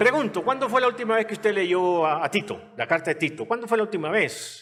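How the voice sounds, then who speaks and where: A man speaks at a fairly quick pace. His voice is high-pitched and his intonation lively. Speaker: pastor. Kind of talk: sermon.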